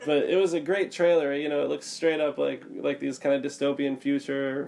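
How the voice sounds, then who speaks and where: With noticeable noise behind him, a man speaks at a moderate pace in an American accent. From United States. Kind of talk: casual podcast chat about video games.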